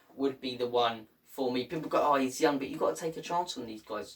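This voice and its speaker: With a northern English accent, a man speaks at a fairly quick pace with a fairly high pitch and ordinary pitch variation. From northern England, Irish heritage. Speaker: football YouTuber. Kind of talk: casual vlog commentary. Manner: animated.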